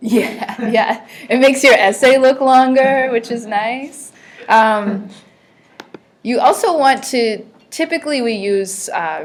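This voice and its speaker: Loud and high-pitched, a woman speaks at a very slow pace. Her pitch shows ordinary variation. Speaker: teacher. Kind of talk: classroom lesson.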